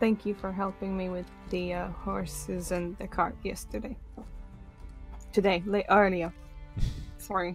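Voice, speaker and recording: In a put-on character voice that sounds female, the speaker mumbles at a medium pitch and a moderate pace with long, frequent pauses, over music in the background. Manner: mumbling awkwardly; sheepish, apologetic.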